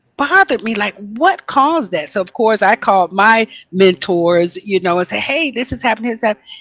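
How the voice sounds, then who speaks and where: A woman speaks in a plain, everyday voice at a fairly quick pace with lively intonation. The sound is dry and close, with no echo. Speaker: holistic health teacher. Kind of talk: casual chat.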